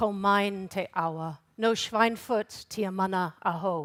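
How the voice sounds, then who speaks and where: A woman with an American accent and a normal speaking voice, medium in pitch with ordinary pitch variation, is recorded very clean, dry and close with no echo and a silent background. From Canada and the United States. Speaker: regional council chief executive, workshop moderator. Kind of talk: conference workshop presentation. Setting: conference workshop with audience.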